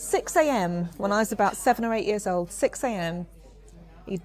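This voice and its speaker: A woman is speaking. She has a London accent. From London, Finsbury. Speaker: podcast host. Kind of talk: casual chat. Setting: pub.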